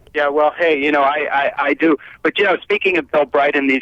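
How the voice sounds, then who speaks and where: Fairly high in pitch, a man speaks at a very fast pace. Noticeable background noise is present. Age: 60s. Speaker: author. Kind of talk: casual chat.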